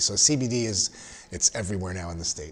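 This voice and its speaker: A man with an ordinary speaking voice talks at a moderate pace and a fairly low pitch. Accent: American. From Southern California. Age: 50s. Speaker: podcast host, registered nurse. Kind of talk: casual interview.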